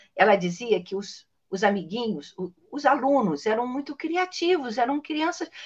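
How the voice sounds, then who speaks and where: With a high pitch and very wide pitch swings, a woman talks at a moderate pace. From Niterói, Brazil. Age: 60s. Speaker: children's author and storyteller. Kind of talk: casual interview chat.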